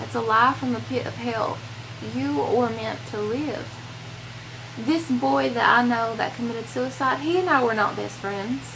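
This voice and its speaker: Over noticeable background noise, a woman talks at a moderate pace in a Southern US accent. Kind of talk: casual talk to camera, personal vlog. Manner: earnest, emotional, hesitant.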